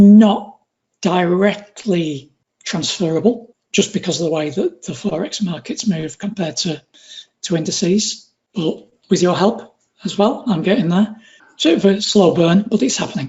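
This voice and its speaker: A northwest English accent at a moderate pace. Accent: northwest English accent, noticeable. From northwest England. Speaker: retail trader. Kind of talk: interview.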